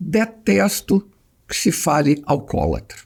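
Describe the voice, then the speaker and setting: The voice belongs to a man and is fairly high. It carries vocal fry. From Brazil, Mato Grosso and Rio de Janeiro. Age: 70s. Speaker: psychiatrist. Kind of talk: interview conversation.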